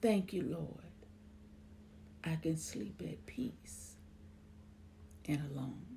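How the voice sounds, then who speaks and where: A woman speaks at a very slow pace with lively intonation. Her tone is dark and mellow, with vocal fry. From Memphis, Tennessee. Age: 60s. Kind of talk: poetry reading.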